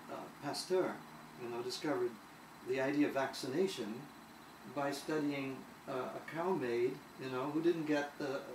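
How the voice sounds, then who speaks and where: A man speaks at a fairly high pitch with fairly even intonation and long, frequent pauses. Room echo is audible, along with noticeable background noise. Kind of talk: conversational interview. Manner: halting, many fillers and repetitions.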